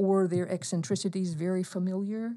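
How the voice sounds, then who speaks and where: A woman with an American accent, fairly quick, in a dark, mellow tone. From US South, eastern Alabama. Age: 60s. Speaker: professor. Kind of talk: interview.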